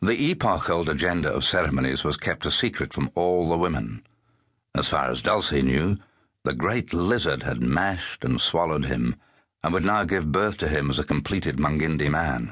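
Vocal fry runs through lively intonation at a moderate pace, with very even loudness. The background is quiet. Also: man, very deep, low pitch for a man. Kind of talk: audiobook narration, unabridged literary reading. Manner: measured, formal, even-paced storytelling.

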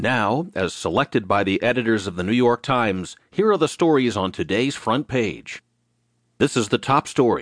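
A man with an unremarkable speaking voice at medium pitch talks at a moderate pace with lively intonation, the sound dry and close with no echo against a quiet background. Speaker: newsreader narrator. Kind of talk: news reading, audio digest of newspaper stories. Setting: studio. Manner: formal, even and measured; steady, neutral, briskly paced.

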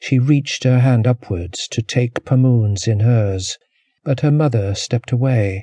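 Against a quiet background, the clip is plain reading aloud with ordinary pitch variation.

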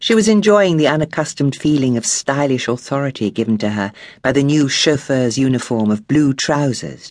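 What we hear is plain reading aloud.

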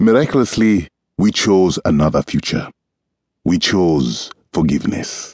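With a warm, solemn tone, a man at a very deep, low pitch speaks at a fairly slow pace with long, frequent pauses and very wide pitch swings, the sound dry and close with no echo. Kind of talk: audiobook reading of a first-person memoir-style text, scripted narration. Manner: measured, solemn, earnest pace with deliberate gravity; warm, reflective, sincere narration.

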